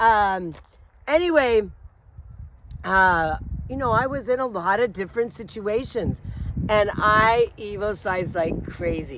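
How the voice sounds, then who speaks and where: Pausing long and often at a fairly slow pace, a woman with a fairly high pitch speaks in an animated tone with lively intonation. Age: 60s. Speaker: life coach vlogger. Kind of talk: casual vlog monologue.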